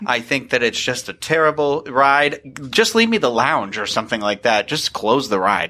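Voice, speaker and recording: Over noticeable background noise, a man of medium pitch talks at a moderate pace with hardly any pauses, his pitch swinging very widely. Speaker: podcast co-host. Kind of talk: casual panel chat.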